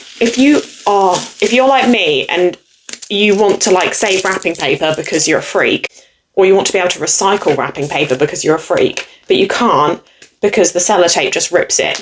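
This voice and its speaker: A woman with an English accent speaks at a fairly quick pace with lively intonation and a medium pitch. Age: 20s. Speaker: booktuber. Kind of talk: casual chat. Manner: animated.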